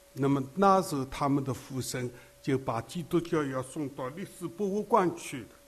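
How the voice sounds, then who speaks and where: At a moderate pace, a man speaks with a fairly high, somewhat breathy voice and ordinary pitch variation. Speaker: elderly preacher. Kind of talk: sermon.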